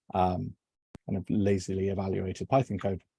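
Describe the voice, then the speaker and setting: A man with a southwest English accent speaks at a moderate pace in a fairly low voice with a dark, mellow tone, the sound dry and close with no echo. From southwest England. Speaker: software engineer. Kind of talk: technical presentation. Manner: hesitant, many fillers.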